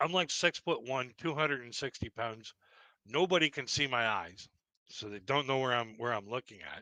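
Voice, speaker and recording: A man's normal speaking voice at a medium pitch and moderate pace, with ordinary pitch variation, big swings in loudness and a dry, close sound with no echo over a quiet background. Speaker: live stream host. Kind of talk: casual chat. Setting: live stream.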